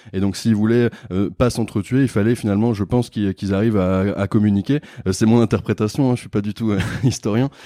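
His voice is fairly low, with a dark, mellow tone and fairly even intonation. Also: fairly quick pace, dry, close sound with no echo. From Réunion island. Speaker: entrepreneur, company co-founder. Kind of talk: casual interview. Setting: business accelerator in Bordeaux. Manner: hesitant with frequent fillers.

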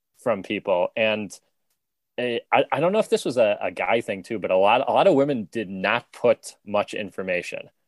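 A man with a normal speaking voice and medium pitch talks at a moderate pace, the sound dry and close with no echo over a quiet background. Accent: American. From United States. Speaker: stand-up comedian. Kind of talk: casual chat.

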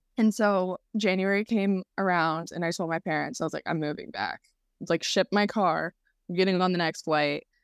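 Speaking with an American accent at medium pitch, a woman keeps a moderate pace and fairly even intonation in a very clean, dry, close recording with a silent background and no echo. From US South, North Carolina. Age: 20s. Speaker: former model, podcast guest. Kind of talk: casual interview.

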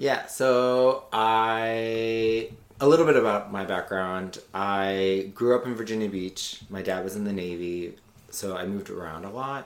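The man speaks in an American accent at a fairly low pitch with ordinary pitch variation. His pace is fairly slow, and audible room echo surrounds him. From US South, Louisiana. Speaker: comedian and writer. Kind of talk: casual chat. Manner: thoughtful.

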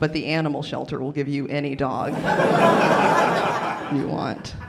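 A woman with an American accent speaks in a very deep, low pitch, with noticeable background noise and audible room echo. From US South, western North Carolina. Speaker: stand-up comedian. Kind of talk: stand-up.

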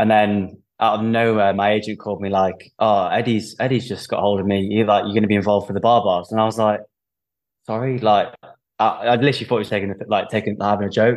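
Very fast and monotone, a man with an English accent speaks at a fairly low pitch with flat intonation. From England. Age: 20s. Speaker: professional rugby player. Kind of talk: casual interview chat.

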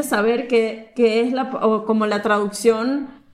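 A woman talks in a high voice with ordinary pitch variation, and audible room echo surrounds her. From Venezuela, Caracas. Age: 20s. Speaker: engineer. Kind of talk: casual chat. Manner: halting.

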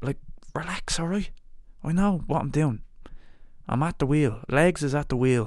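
A man with an Irish accent speaks at a moderate pace and a fairly high pitch. His pitch varies in an ordinary way, and he takes long, frequent pauses. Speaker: podcast host. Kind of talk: casual chat. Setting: at guest's home. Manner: animated.

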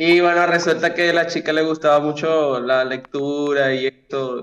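This man has an unremarkable speaking voice, fairly high in pitch, with fairly even intonation. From Venezuela. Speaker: stranger from a video chat site. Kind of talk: casual chat. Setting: video call.

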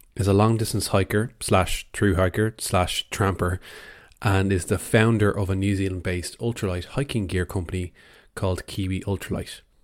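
In a very clean recording with a silent background, a man with an Irish accent speaks at a moderate pace in a fairly low pitch with ordinary pitch variation. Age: 20s. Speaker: podcast host. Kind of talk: scripted narration.

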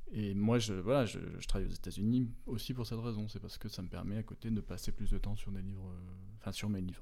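Very fast and fairly even in intonation, a man with a dark, mellow tone and fairly low pitch talks amid audible room echo. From France, moved often, roots in Brittany. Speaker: children's book author and illustrator. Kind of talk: interview. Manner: halting, many fillers.

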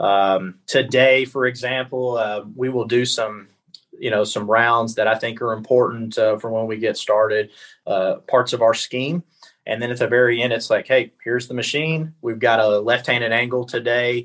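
This man has a normal speaking voice at a medium pitch. He keeps a moderate pace with fairly even intonation. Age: 30s. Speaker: college baseball coach. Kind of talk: casual interview.

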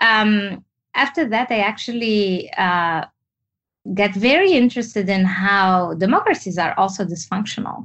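At a moderate pace, a woman speaks with medium pitch. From Tunisia. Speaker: entrepreneur and activist. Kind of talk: interview.

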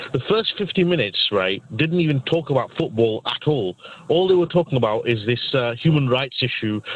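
A man talks at a fairly quick pace with lively intonation over noticeable background noise. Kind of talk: casual chat.

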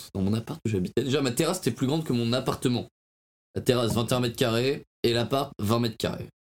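Recorded dry and close with no echo, a man talks at a fairly quick pace in a medium pitch with ordinary pitch variation. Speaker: podcast co-host. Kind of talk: casual chat.

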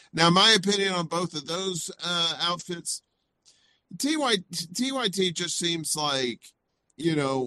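A man talks with a Southern US accent and a bright, sharp tone. His pitch swings very widely, and the sound is dry and close with no echo. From US South, Mississippi. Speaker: indie media personality. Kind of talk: casual interview chat.

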